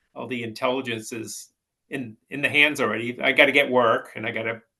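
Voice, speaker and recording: The voice is bright and sharp in tone, moving at a moderate pace with monotone, flat intonation. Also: man. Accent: Boston. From Massachusetts, Peabody. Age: 60s. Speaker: house painter. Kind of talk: casual chat.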